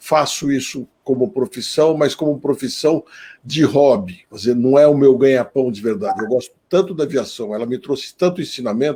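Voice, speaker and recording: A man speaks at a moderate pace with a medium pitch. His tone is dark and mellow, with ordinary pitch variation. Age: 60s. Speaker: politician. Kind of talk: live stream panel talk.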